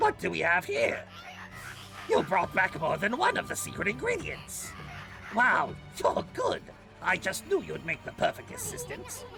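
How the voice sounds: A man does a strained, put-on character voice at a moderate pace, with clear music in the background.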